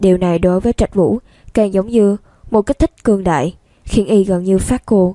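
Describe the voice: The intonation is fairly even throughout. It is plain reading aloud.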